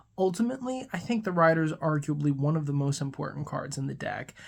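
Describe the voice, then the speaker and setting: Someone speaks at a fairly quick pace in a very clean recording with a silent background. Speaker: podcast host, tarot and Lenormand reader. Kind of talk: tutorial. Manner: fast; casual, conversational.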